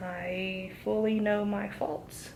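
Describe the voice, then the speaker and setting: Mumbling, a woman speaks with ordinary pitch variation. Room echo is audible, and background noise is noticeable. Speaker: vlogger. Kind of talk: vlog monologue. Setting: hotel room. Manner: mumbling, running words together.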